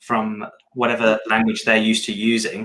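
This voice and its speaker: In a British accent, a man speaks at a fairly low pitch with a bright, sharp tone and monotone, flat intonation. The recording is very clean, with a silent background. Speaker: podcast co-host, developer. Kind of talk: casual chat.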